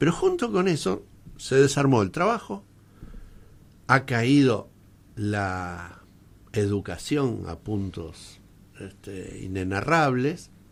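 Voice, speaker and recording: On a very clean recording with a silent background, a man talks at a very slow pace with long, frequent pauses. His pitch swings very widely, and his loudness shifts in big swings. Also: medium pitch for a man. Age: 60s. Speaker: radio host. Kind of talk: radio interview. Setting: radio studio.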